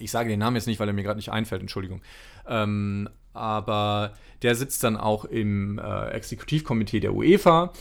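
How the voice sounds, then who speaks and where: At a moderate pace, a man speaks with a fairly low pitch. His pitch variation is ordinary. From northern Germany, Mecklenburg. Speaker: former sports journalist and author. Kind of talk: casual interview. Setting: remote call. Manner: hesitant, many fillers.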